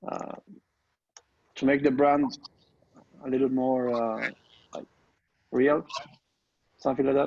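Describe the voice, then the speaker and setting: This man has a slight non-native accent and a monotone, flat delivery. He talks at a fairly slow pace with long, frequent pauses. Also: medium pitch for a man. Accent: foreign accent, mild. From Argentina. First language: Spanish. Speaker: online course student. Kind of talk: group coaching call. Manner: halting, many fillers.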